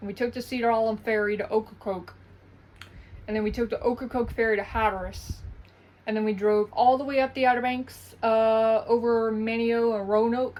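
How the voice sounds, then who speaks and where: Speaking at a fairly quick pace, a woman with an Eastern North Carolina accent has a fairly high pitch and monotone, flat intonation. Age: 20s. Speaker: vlogger. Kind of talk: casual vlog monologue.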